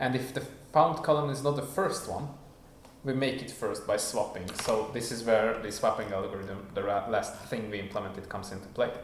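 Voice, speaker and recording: The man has a medium pitch, ordinary pitch variation and a non-native accent, speaking at a fairly quick pace. Noticeable background noise and audible room echo are present. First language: not English. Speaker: programmer streamer. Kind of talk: live coding stream. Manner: casual, thinking aloud with fillers.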